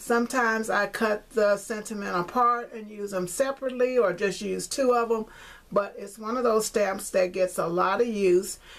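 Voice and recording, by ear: A woman at medium pitch, fairly even in intonation, at a moderate pace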